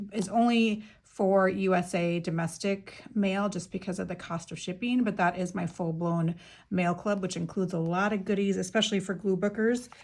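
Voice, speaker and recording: A woman speaks at a medium pitch with a somewhat breathy voice. The recording is very clean, with a silent background. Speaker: craft YouTuber. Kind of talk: casual show-and-tell. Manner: fast; chatty, many fillers.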